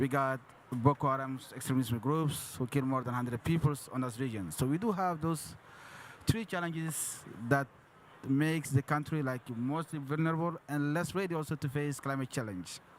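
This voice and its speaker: With a French accent, a man speaks at a moderate pace in a fairly high pitch with ordinary pitch variation. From Chad. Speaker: government official. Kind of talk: panel discussion. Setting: conference stage with audience. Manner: halting.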